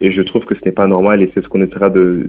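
A man with a Belgian accent and fairly low pitch at a very fast pace. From Belgium. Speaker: youth delegate. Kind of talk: interview. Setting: phone call. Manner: hesitant, some fillers.

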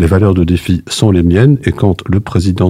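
This man's voice is very deep and low, and somewhat breathy. He talks at a moderate pace. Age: 60s. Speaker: retired judge, political candidate. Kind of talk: radio interview. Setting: studio. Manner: halting.

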